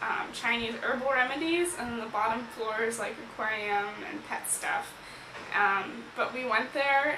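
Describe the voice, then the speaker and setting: A woman talks with ordinary pitch variation while noticeable noise sits in the background. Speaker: vlogger. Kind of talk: casual vlog chat. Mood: cheerful, excited. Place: home room. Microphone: phone near.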